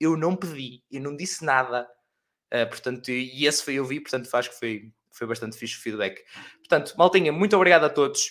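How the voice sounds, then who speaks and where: A man talks in an animated tone at a fairly quick pace, with a fairly high pitch and ordinary pitch variation. His loudness swings widely. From Portugal, Oliveira de Azeméis area. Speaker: university podcast host. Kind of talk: casual chat. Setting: live stream with online guests.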